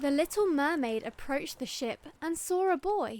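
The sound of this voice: Faint music plays in the background. A woman speaks slowly with lively intonation.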